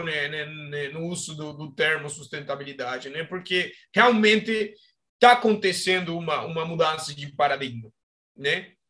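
His voice is high in pitch with a bright, sharp tone. This man speaks with a Spanish accent. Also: big swings in loudness. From Argentina. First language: Spanish (speaking Portuguese). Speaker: agronomist and startup co-founder. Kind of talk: interview. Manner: halting.

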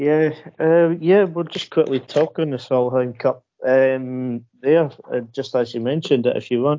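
A man's normal speaking voice at medium pitch, with fairly even intonation and a fairly slow pace. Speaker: podcast host. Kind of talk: casual interview chat.

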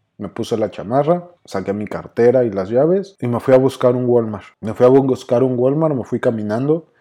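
Speaking with a Mexico City accent, a man uses a medium pitch, a dark, mellow tone and ordinary pitch variation. He talks at a moderate pace with hardly any pauses against a quiet background. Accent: Mexico City (chilango). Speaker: psychologist, podcast host. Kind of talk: personal storytelling monologue.

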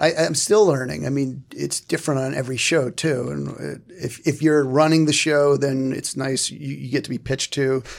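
A plain, everyday voice from a man, medium in pitch, with fairly even intonation, a moderate pace and hardly any pauses. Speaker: TV writer. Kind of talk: roundtable panel discussion.

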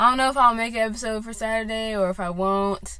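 In an American accent, a woman with a fairly high voice speaks with fairly even intonation, and the room echo is audible. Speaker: podcast host. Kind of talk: casual monologue. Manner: rambling with many fillers.

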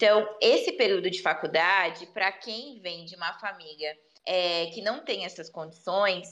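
A woman of medium pitch speaks in a normal speaking voice at a moderate pace with hardly any pauses. Her loudness swings widely, while her pitch variation stays ordinary. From Brazil, São Paulo state (Bauru). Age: 20s. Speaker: social worker. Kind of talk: interview conversation.

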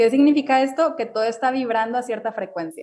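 Fairly quick and fairly high-pitched, a woman speaks with ordinary pitch variation. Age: 20s. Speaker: restaurant owner and wellness influencer. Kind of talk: interview.

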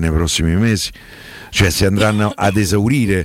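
Here a man talks with ordinary pitch variation. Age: 60s. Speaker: sports journalist. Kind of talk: radio phone-in discussion.

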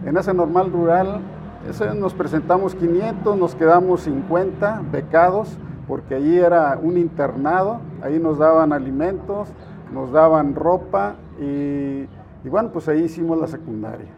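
The speaker is a man with a high pitch. Noticeable background noise runs underneath. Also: ordinary pitch variation, fairly slow pace. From Jalisco, Mexico (Estipac). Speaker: political candidate. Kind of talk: interview. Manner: halting, frequent repetitions.

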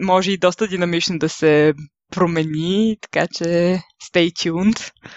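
A woman talks in a plain, everyday voice. Her pace is fairly slow. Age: 20s. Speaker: travel podcaster. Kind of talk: solo podcast monologue.

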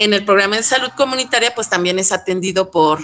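A woman with a medium pitch talks as noticeable background noise carries on behind her. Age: 40s. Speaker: accountant at a youth nonprofit. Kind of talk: interview.

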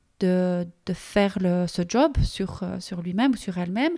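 The woman's tone is dark and mellow. The recording is very clean and dry, close with no echo and a silent background. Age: 50s. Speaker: podcast host, personal development coach. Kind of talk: solo personal monologue. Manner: animated; halting.

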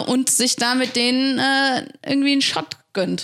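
A woman speaks in a high pitch. Her pitch variation is ordinary. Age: 20s. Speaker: church youth worker. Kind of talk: casual chat. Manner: loud.

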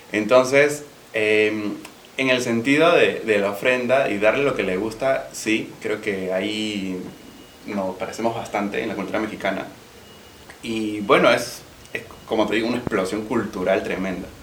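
A man speaks fairly slowly in a fairly low voice with ordinary pitch variation. There is audible room echo and noticeable background noise. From Peru. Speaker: podcast co-host. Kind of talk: casual chat.

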